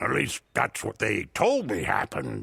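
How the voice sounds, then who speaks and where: A man performs a put-on character voice. His tone is theatrical. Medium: video game. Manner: hearty, laughing, theatrical.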